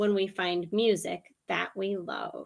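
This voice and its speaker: A woman uses a put-on character voice at medium pitch, speaking at a fairly slow pace with fairly even intonation. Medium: read story.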